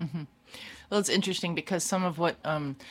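A woman with an American accent, a normal speaking voice, a fairly low pitch and ordinary pitch variation, in a very clean recording with a silent background. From Maryland, Baltimore. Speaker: church lay leader. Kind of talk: radio interview.

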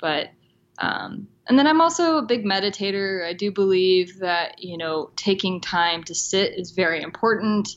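A woman with a plain, everyday voice at a moderate pace. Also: medium pitch for a woman, lively intonation. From US South. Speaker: responsible travel blogger. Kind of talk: interview.

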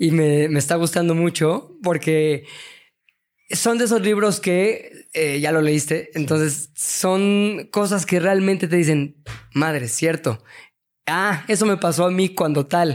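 The recording is very clean, with a silent background. A man with a high voice talks very slowly, his pitch varying in an ordinary way. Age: 40s. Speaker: media entrepreneur and creative director. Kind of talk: casual interview chat.

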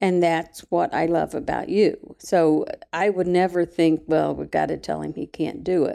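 In an Appalachian accent, a woman talks at a moderate pace. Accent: Appalachian Southern US. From West Virginia. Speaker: retired school employee. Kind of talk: casual interview.

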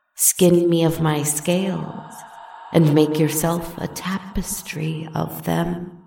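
A put-on character voice at a middle pitch, very slow and calm in tone, with a slight echo. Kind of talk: dark fairy-tale storytelling. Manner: purring, calm, mocking.

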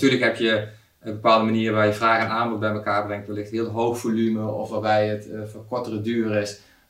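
A man with a fairly low pitch speaks in a monotone, flat way, with audible room echo and noticeable background noise. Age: 40s. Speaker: software product owner. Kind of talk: interview. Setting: office meeting room.

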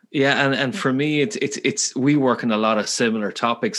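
This man speaks in a Galway accent. His intonation is fairly even. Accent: Irish, Galway. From west of Ireland, Galway. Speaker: podcast host. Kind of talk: interview conversation.

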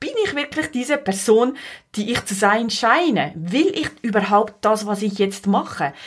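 Talking at a moderate pace, a woman has a fairly high pitch. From Switzerland, Valais. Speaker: podcast host, life coach. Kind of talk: monologue podcast introduction.

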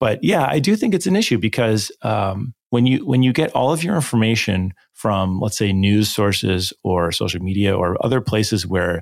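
Using an ordinary speaking voice, a man talks at a moderate pace and fairly low pitch. The sound is dry and close with no echo, on a very clean recording with a silent background. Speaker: technology leader. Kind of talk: casual interview conversation.

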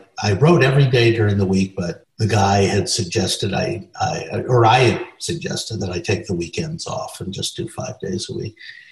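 Over noticeable background noise, a man talks at a moderate pace and medium pitch. He has a General American accent and very wide pitch swings. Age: 70s. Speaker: film and stage director. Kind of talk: interview, recounting anecdotes.

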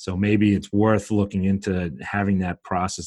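The man has a fairly low voice and a Brooklyn accent. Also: very clean recording, silent background. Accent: Brooklyn New York. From Brooklyn, New York. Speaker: dietitian and business owner. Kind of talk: casual interview chat.

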